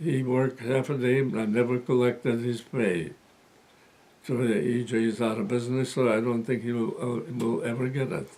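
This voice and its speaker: Over noticeable background noise, a man with an American accent talks at medium pitch with ordinary pitch variation. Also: moderate pace. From USA. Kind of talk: interview answer.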